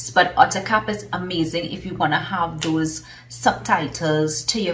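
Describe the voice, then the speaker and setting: With a Trinidadian accent, a woman with a very deep, low pitch talks at a fairly slow pace amid audible room echo and music in the background. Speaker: business consultant and coach. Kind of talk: casual vlog talk.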